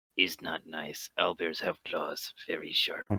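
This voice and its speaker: A fairly slow, put-on character voice from a man. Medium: actual play. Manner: terse, broken grammar.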